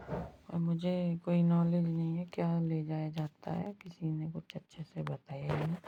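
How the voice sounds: A woman speaks at a fairly slow pace in a low, hoarse, husky voice with vocal fry. Her intonation is monotone and flat.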